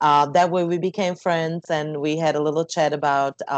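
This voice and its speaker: Speaking at a moderate pace with a Slovak accent, a woman uses a very deep, low pitch, recorded with a dry sound with no echo against a quiet background. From Slovakia. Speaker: jazz singer; interview guest. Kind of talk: interview. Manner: halting. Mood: calm, reflective. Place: home room. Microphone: earbuds.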